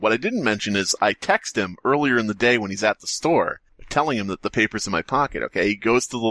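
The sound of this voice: Words read out in an unforced reading voice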